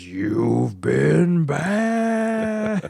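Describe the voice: A man speaks in a put-on character voice with a menacing tone over light background noise.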